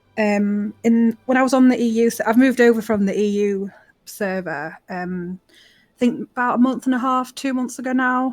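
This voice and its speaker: In a very clean recording with a silent background, a woman with a British accent speaks with hardly any pauses, ordinary pitch variation and big swings in loudness. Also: fairly high pitch for a woman, moderate pace. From UK. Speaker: gaming guild member. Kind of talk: self-introduction.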